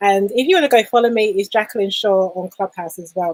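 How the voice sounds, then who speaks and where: Speaking at a fairly quick pace, a woman with a London accent has a medium pitch, and the sound is dry and close with no echo. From London, England. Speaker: business coach. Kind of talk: live stream talk. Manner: animated.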